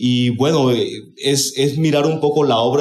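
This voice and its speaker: A man speaks with fairly even intonation. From Colombia, Caribbean region. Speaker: conference speaker. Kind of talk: conference talk.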